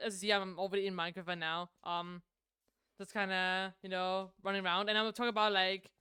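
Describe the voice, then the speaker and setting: Bright, sharp tone from a woman of medium pitch, at a fairly quick pace. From Denmark. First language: Danish. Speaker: streamer. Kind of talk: casual chat. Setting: live stream. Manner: halting, many fillers and restarts.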